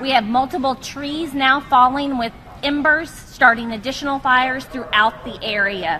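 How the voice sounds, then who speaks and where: A woman projects in a raised voice, high in pitch with ordinary pitch variation, while noticeable background noise carries on. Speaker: fire official giving a briefing. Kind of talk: weather and fire-conditions report at an emergency press briefing. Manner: formal, steady and clear, urgent but controlled.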